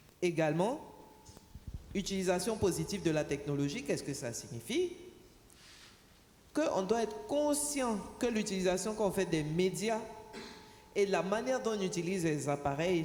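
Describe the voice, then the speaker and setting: Long, frequent pauses and big swings in loudness, with very wide pitch swings and audible room echo. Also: woman, medium pitch for a woman. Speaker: panelist representing telecom operators. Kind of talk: conference panel talk. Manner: deliberately slow.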